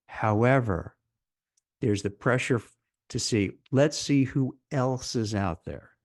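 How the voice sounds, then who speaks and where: At a fairly slow pace and medium pitch, a man with a plain, everyday voice talks with ordinary pitch variation over a quiet background. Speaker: career advice video host. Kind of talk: solo commentary to camera.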